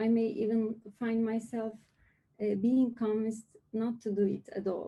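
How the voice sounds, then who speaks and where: Somewhat breathy and at a fairly slow pace, a woman with a non-native accent speaks in a dark, mellow tone at a fairly high pitch. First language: not English. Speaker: lightning talk speaker. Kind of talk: presentation. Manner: hesitant.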